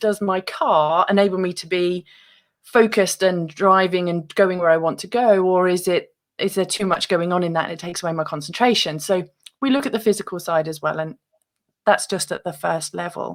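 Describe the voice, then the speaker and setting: Ordinary pitch variation marks this fairly quick speech delivered in a British accent. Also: woman, medium pitch for a woman. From UK. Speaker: author and meditation guest. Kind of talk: interview.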